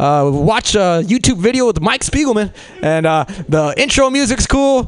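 A man with an American accent speaks fairly slowly at a high pitch with lively intonation. Noticeable background noise can be heard. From Los Angeles. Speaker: comedy show host. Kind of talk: stand-up emcee. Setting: stage with audience.

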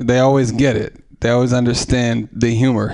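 A man speaks with an American accent at a moderate pace. He has an ordinary speaking voice at medium pitch. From East Oakland, California. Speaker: stand-up comedian. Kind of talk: stand-up. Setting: stage with audience.

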